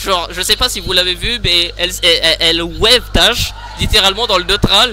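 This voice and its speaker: Background music under a man's speech at a moderate pace. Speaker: esports commentator. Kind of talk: live commentary. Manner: soft-spoken; halting, repeats words.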